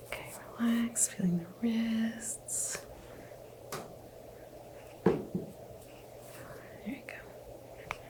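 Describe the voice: A woman is whispering at a very slow pace. She leaves long, frequent pauses.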